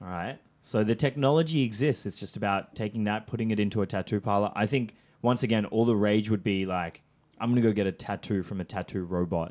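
On a very clean recording with a silent background, the speech comes at a very fast pace with ordinary pitch variation. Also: man, fairly low pitch for a man. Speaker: podcast co-host. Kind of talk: casual chat.

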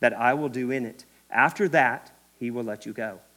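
A man with an American accent and a medium pitch speaks at a moderate pace in a very clean recording with a silent background. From Kentucky. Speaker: preacher. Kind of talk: sermon. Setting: church. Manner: animated.

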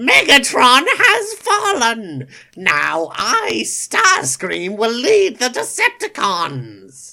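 In a put-on character voice, the speaker goes at a very slow pace with hardly any pauses. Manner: triumphant, gloating.

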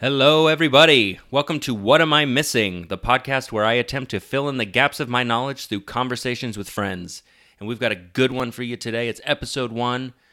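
In a very clean recording with a silent background, a man uses a plain, everyday voice with ordinary pitch variation and hardly any pauses. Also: medium pitch for a man. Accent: American. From US West (Lafayette, Colorado). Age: 30s. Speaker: podcast host, actor. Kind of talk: casual chat.

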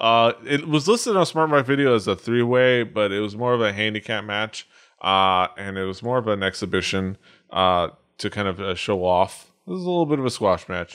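Recorded very cleanly against a silent background, a man with a normal speaking voice talks at a fairly low pitch and moderate pace with lively intonation. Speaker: podcast host. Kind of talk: casual chat.

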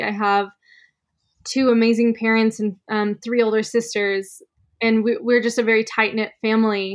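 Over a quiet background, a woman with an American accent speaks at a moderate pace in a normal speaking voice. Her pitch is fairly high and her intonation fairly even. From Arizona, Sedona. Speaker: photographer and yoga instructor. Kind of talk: casual interview.

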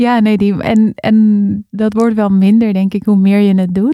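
Moderate-paced speech from a woman, dry and close with no echo. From Netherlands, Amstelveen near Amsterdam. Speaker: facilitator and spoken word poet. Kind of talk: casual interview.

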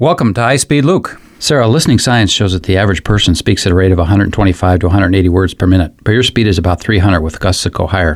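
A plain, everyday voice from a man, fairly low in pitch with ordinary variation, at a fairly quick pace with hardly any pauses and very even loudness. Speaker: Bible teacher host. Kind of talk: devotional introduction and teaching.

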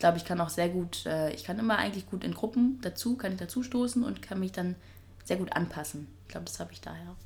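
A woman speaks at a very fast pace with vocal fry and big swings in loudness. Her pitch is medium, with ordinary variation. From northern Germany, Schleswig-Holstein. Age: 20s. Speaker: fashion journalist and presenter. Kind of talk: casual interview. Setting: kitchen.

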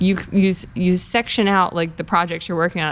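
At a moderate pace, a woman speaks at medium pitch in an ordinary speaking voice. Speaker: comedian.

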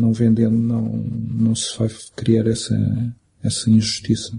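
A man speaks at a fairly slow pace in a somewhat breathy voice. His tone is dark and mellow. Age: 40s. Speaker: film director. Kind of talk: interview. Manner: halting.

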